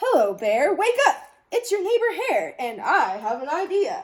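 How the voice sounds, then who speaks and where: Using a put-on character voice at an extremely high pitch, a woman speaks at a moderate pace. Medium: read story. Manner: eager, persuasive.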